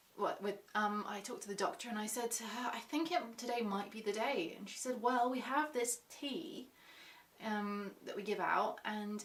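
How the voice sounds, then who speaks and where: Over noticeable background noise, a woman with a fairly high pitch talks with ordinary pitch variation. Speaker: vlogger sharing birth story. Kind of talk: personal story vlog. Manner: fast.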